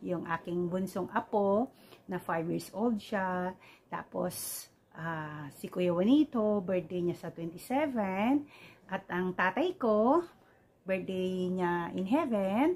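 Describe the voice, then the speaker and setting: A woman speaks at a very slow pace, her voice somewhat breathy. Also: medium pitch for a woman, ordinary pitch variation. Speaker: vlogger. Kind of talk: casual vlog greetings. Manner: hesitant, many fillers.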